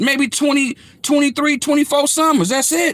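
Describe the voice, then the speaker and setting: With a bright, sharp tone, a man uses a raised, projected voice and an animated, passionate delivery at a moderate pace. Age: 40s. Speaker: online commentator. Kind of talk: monologue rant.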